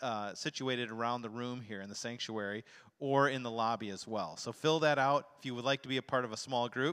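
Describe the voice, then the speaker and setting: The pace is fairly quick. The background is quiet. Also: man. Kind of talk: announcements to congregation. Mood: warm, upbeat. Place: church. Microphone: handheld.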